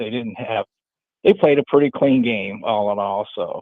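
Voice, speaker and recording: At a moderate pace, a man of medium pitch speaks with fairly even intonation. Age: 60s. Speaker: college football fan guest. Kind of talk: casual chat. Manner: halting.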